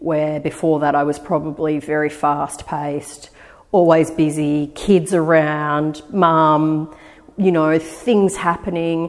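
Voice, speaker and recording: Over a quiet background, a woman with a very deep, low voice speaks at a very slow pace in a monotone, flat intonation. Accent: Australian. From Australia, Eora Nation (Sydney). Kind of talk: interview answer. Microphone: lapel.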